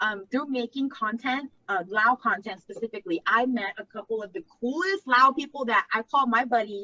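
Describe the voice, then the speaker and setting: With an American accent, a woman speaks at a moderate pace in a high, bright, sharp tone with lively intonation, the sound dry and close with no echo. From Laotian American. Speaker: content creator. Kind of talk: casual interview chat. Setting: live video chat. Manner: animated, filler-heavy casual speech.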